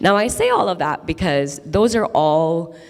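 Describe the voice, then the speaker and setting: Music plays in the background as a woman speaks with an American accent. Her pitch is very deep and low, and her intonation is lively. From Qatar, then Chicago suburbs from age 15. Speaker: interfaith organization leader. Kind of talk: keynote conversation on stage. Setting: stage with audience.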